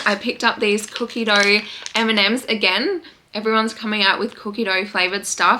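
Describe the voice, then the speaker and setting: A woman's fairly high, fairly quick voice with an Australian accent and fairly even intonation, over noticeable background noise. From Western Australia. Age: 20s. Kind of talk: casual talk to camera.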